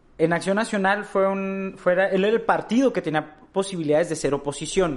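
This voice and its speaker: A man with a high voice talks at a moderate pace. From Mexico, Torreón (Coahuila). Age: 20s. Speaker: young politician and activist. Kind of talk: interview.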